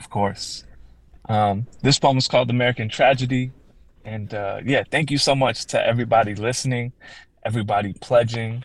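At a moderate pace and medium pitch, a man speaks in an unremarkable speaking voice with fairly even intonation but big swings in loudness, recorded very cleanly against a silent background. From Chicago south suburbs, Illinois. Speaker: poet. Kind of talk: poetry reading; radio interview.

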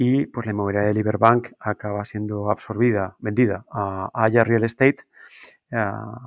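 Against a quiet background, a man talks at a moderate pace in a medium pitch with monotone, flat intonation and a dry, close sound with no echo. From Spain, Guadalajara. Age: 40s. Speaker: business school program director. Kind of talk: interview. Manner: halting, many fillers and repetitions.

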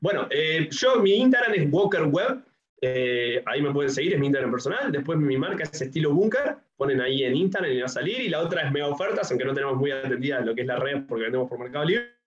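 This man talks at a very fast pace with a Uruguayan accent. His fairly high voice has lively intonation. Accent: Uruguayan Spanish (Rioplatense). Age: 20s. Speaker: entrepreneur and YouTuber. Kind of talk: casual interview.

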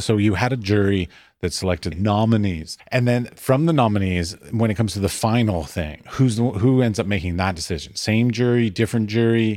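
In a very clean recording with a silent background, a man with a plain, everyday voice speaks at a fairly low pitch and a moderate pace with ordinary pitch variation. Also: hardly any pauses. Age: 40s. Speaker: podcast host. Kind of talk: interview. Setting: in person.

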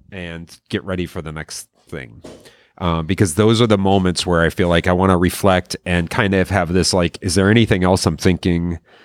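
Fairly even intonation and a moderate pace mark this American accent. The sound is dry and close, with no echo. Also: man, very deep, low pitch for a man, very clean recording, silent background. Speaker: podcast host and emergency physician. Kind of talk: casual interview chat. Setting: coffee shop.

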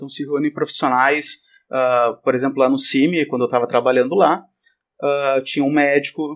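Here is a man with a fairly high pitch and an unremarkable speaking voice. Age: 30s. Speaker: exercise professional and professor. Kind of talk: casual chat.

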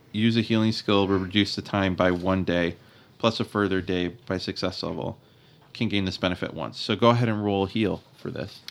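Speaking at a moderate pace, a man uses a plain, everyday voice with a fairly low pitch and fairly even intonation. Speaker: game master and podcast host. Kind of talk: tabletop roleplaying actual play, casual chat.

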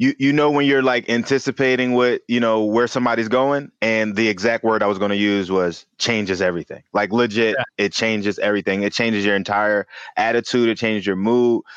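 An ordinary speaking voice with an American accent moves at a fairly quick pace, with fairly even intonation and very even loudness. The sound is dry and close with no echo, over a quiet background. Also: man, medium pitch for a man. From West Philadelphia, US. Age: 30s. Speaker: surfer. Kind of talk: casual chat.

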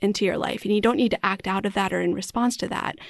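Against a quiet background, a woman with an American accent talks at a medium pitch with vocal fry and ordinary pitch variation. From US Midwest (Wisconsin, partly Arizona). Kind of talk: casual faith conversation.

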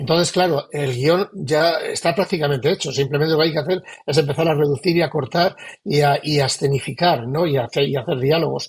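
This man talks at a fairly quick pace. His voice is somewhat breathy. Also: fairly high pitch for a man, ordinary pitch variation, very even loudness. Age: 60s. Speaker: novelist. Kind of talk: interview. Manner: halting.

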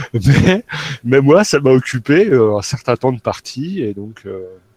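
There's a dry, close sound with no echo as a man talks at a moderate pace. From France, Nancy (Lorraine). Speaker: role-playing gamer. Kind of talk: casual chat.

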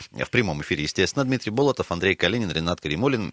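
A man with vocal fry, very wide pitch swings and a very fast pace, in a dry, close sound with no echo. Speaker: radio host. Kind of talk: casual chat. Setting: studio.

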